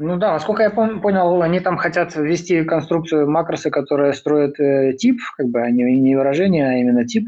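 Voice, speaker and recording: Man with a normal speaking voice, fairly high in pitch, with lively intonation, very even loudness and a moderate pace. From Belarus. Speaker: software developer.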